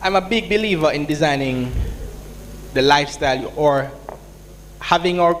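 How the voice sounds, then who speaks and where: Through noticeable background noise and audible room echo, a man with a Jamaican accent talks in a fairly high voice with ordinary pitch variation. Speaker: entrepreneur, business founder. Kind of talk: conference panel Q&A. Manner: casual, conversational.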